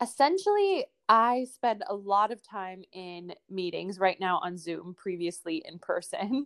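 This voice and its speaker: A woman speaks in a plain, everyday voice with a Canadian accent, at medium pitch with ordinary pitch variation. Her pace is fairly slow with hardly any pauses, and her loudness swings widely. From Alberta, Canada. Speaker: sustainable development professional. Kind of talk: interview.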